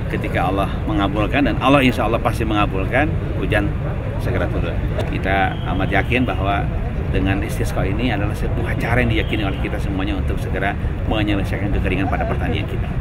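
Loud background noise is present throughout. Over it, a man speaks very fast. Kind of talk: interview answer. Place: street. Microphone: handheld.

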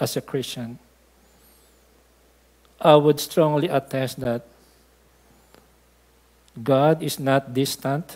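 Speaking slowly with long, frequent pauses, a man has a fairly high pitch and a slightly mellow tone.

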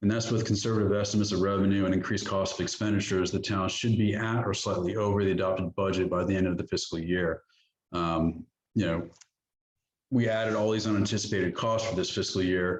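A man rushes along at a very fast pace in a fairly low pitch. His intonation is monotone and flat, and his loudness stays very even. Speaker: town manager. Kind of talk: budget presentation at council workshop. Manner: hesitant fillers.

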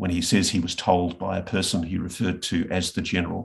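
Over a quiet background, a man with an Australian accent speaks at a fairly quick pace in a very deep, low voice. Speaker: investigative journalist. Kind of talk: interview. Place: home room. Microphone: video call.

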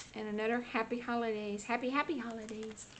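The woman moves at a moderate pace while light noise hums in the background. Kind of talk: craft flip-through commentary. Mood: gentle, cheerful. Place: home room.

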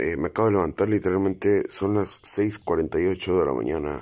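Putting on a raspy character voice, a man speaks at a moderate pace with a very deep, low pitch. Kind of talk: casual vlog address.

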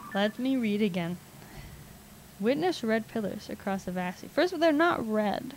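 A woman speaks at a moderate pace in a somewhat breathy, animated voice with very wide pitch swings and long, frequent pauses, the sound dry with no echo and light background noise. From Canada. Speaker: video game streamer; game streamer. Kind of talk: live gameplay commentary. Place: home room.

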